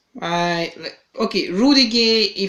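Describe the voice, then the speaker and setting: A man speaks with a non-native accent in a bright, sharp tone with ordinary pitch variation. The recording is very clean, with a silent background. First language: not English. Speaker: fantasy basketball podcast host. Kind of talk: casual podcast chat. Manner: halting, many fillers and repetitions.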